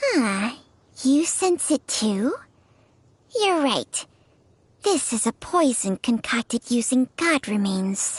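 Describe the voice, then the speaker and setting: Using a put-on character voice, a woman speaks high at a very slow pace. Long pauses come often. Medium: video game. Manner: blunt, matter-of-fact.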